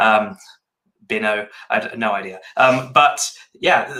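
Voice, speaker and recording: A man speaks with a bright, sharp tone in a British accent. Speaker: podcast co-host, developer. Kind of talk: casual chat.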